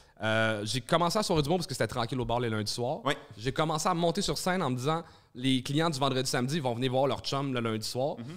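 Against a quiet background, a man with a Quebec accent and medium pitch speaks at a very fast pace with ordinary pitch variation. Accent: Québécois French. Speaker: stand-up comedian and comedy club owner; stand-up comedian. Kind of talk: casual chat. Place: studio. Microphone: studio mic.

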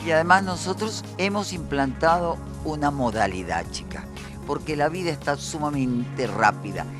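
At a moderate pace, a woman with a very deep, low voice swings widely in pitch, the sound dry with no echo and clear music in the background. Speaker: veteran radio and TV host. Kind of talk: radio interview conversation. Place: office. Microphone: handheld.

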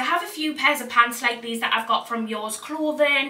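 A woman speaks in a Geordie accent with a bright, sharp tone. Her pitch variation is ordinary, and room echo is audible.

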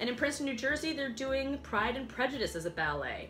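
Music can be heard clearly behind her. The speaker is a woman. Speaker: dance vlogger. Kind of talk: casual magazine review chat. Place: home room. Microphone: camera far.

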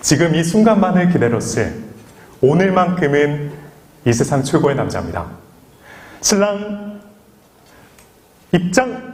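Amid noticeable background noise, a man speaks very slowly in a high pitch, his intonation lively and his speech broken by long, frequent pauses. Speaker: wedding MC. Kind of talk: wedding ceremony hosting. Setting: wedding hall PA system. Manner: calm, witty.

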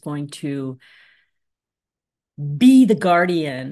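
A woman speaks at a very slow pace, the background around her quiet. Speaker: presenter. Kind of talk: lecture. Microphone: video call.

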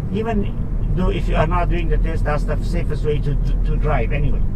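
Loud background noise fills the clip as a man speaks at a moderate pace. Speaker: driving instructor. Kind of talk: tutorial. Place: car.

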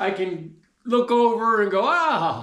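A raised, projected voice moves at a very slow pace with ordinary pitch variation, set against a quiet background with audible room echo. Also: man. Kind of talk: casual vlog chat. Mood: jovial, laughing. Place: workshop. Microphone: camera far.

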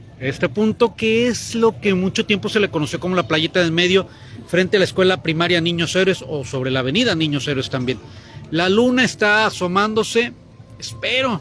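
A man at a moderate pace with lively intonation, in a dry recording with no echo and light background noise. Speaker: local news reporter. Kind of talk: live on-location commentary. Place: waterside. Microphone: phone near.

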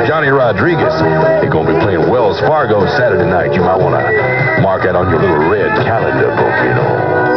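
Loud music fills the background. Over it, a man talks. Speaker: radio DJ. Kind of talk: rock radio DJ aircheck, energetic on-air patter. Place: studio. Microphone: old recording.

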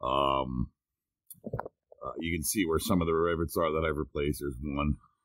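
Over a quiet background, a man talks at a moderate pace with a very deep, low pitch and fairly even intonation, the sound dry with no echo. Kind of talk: tutorial. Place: car. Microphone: phone near.

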